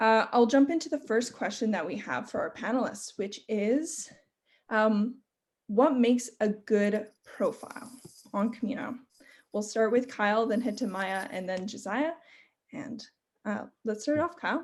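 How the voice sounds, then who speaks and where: At a fairly slow pace, a woman speaks with a somewhat breathy voice at a fairly high pitch and ordinary pitch variation. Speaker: panel moderator. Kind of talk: panel discussion.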